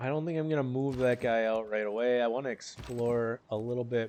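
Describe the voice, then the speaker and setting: A man with a Midwestern accent and fairly even intonation. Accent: Midwest American. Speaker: video game let's player. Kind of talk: gameplay commentary. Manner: halting, many fillers.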